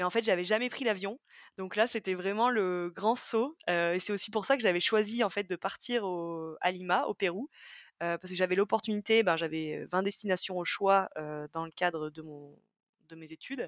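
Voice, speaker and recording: A woman's medium-pitched voice with ordinary pitch variation, dry and close with no echo. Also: moderate pace, big swings in loudness. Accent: slight Auvergne. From France, Auvergne (Haute-Loire, near Brioude). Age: 20s. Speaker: former business student, school staff member. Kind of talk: podcast interview. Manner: hesitant, many fillers.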